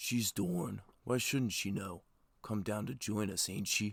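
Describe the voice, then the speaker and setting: In a put-on character voice, a man speaks at a fairly low pitch, fairly slowly, with fairly even intonation. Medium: read story. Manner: coarse, ungrammatical.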